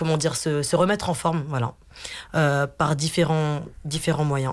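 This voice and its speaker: A woman with a very deep, low pitch. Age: 40s. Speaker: team leader and wellness event organiser. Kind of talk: radio interview. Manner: hesitant, many fillers.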